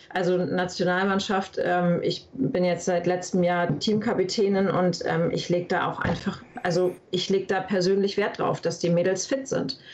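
A woman talks with hardly any pauses and fairly even intonation over noticeable background noise. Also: medium pitch for a woman, moderate pace. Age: 30s. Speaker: paintball player. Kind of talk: interview. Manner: hesitant, many fillers.

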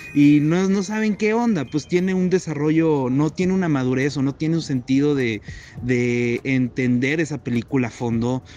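A man talks at a moderate pace. His pitch is fairly high, with noticeable background noise behind him. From Mexico, Saltillo (Coahuila). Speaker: podcast host, university student. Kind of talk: casual chat.

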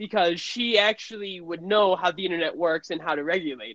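The voice moves at a moderate pace with lively intonation. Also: woman. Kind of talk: casual chat.

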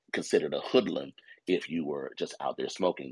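At a fairly quick pace, the speech comes through with a dry, close sound and no echo. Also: man. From Texas. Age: 50s. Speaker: pastor. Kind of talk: casual chat. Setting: phone call.

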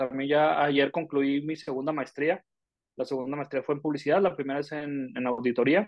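A man with a Mexican accent, fairly high pitch, fairly even intonation and moderate pace. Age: 30s. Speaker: podcast co-host, business consultant. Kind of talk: casual chat.

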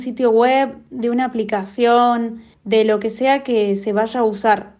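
A woman with an ordinary speaking voice talks at a fairly high pitch. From Argentina, Córdoba. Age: young. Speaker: blind technology user. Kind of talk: testimony.

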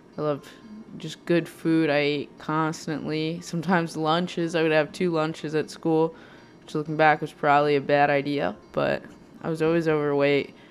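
Over music in the background, a woman with a very deep, low voice speaks at a moderate pace in a flat, monotone way. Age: 20s. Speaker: podcast host. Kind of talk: personal monologue. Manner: halting.

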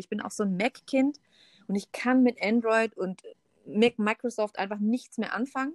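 A woman with a fairly high pitch and ordinary pitch variation speaks in an ordinary speaking voice, the sound dry and close with no echo. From Stuttgart area, Germany. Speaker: photographer and former model. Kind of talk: casual chat.

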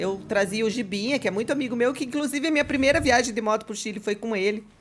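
A woman's fairly high, lively voice at a very fast pace over noticeable background noise. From Curitiba, southern Brazil. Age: 40s. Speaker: motorcycle dealership owner. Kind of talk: casual chat.

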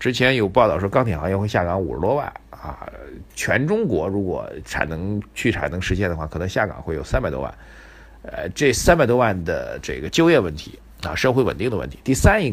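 A man with a fairly low voice talks at a fairly quick pace. His tone is animated, with very wide pitch swings. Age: 40s. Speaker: financial commentator podcast host. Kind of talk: solo market commentary, casual. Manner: animated, conversational.

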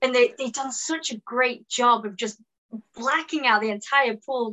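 A woman talks at a moderate pace with a high pitch. Her intonation stays fairly even. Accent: British. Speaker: actor. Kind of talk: casual interview chat. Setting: video call.

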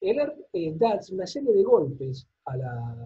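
Pitch swings very widely throughout this man's speech. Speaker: sociologist and party activist. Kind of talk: lecture. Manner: quiet. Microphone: quiet, odd-sounding audio.

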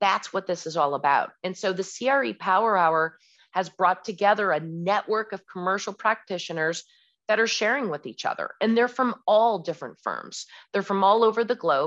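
A normal speaking voice from a woman, medium in pitch, at a moderate pace with lively intonation, against a quiet background. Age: 40s. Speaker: commercial real estate broker. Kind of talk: interview. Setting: podcast interview.

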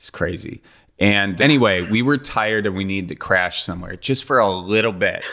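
A bright, sharp tone in an Upper Midwest accent, with ordinary pitch variation. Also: man, fairly low pitch for a man. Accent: Upper Midwest (Wisconsin). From US Midwest (Wisconsin). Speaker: podcast host and former local TV news host. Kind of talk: casual chat. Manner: jokey.

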